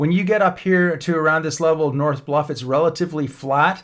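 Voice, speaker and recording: A man with a plain, everyday voice and a Canadian accent speaks at a fairly high pitch and fairly quick pace with fairly even intonation, in a very clean recording with a silent background. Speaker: real estate agent. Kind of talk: map tour tutorial. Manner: casual with fillers.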